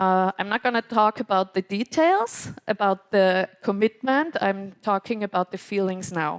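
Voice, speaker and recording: A woman with a non-native accent speaks at a moderate pace, her pitch medium with ordinary variation. The sound is dry and close, with no echo. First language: German. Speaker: podcast host and moderator. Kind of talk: live podcast event moderation. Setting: stage with audience. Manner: hesitant, many fillers.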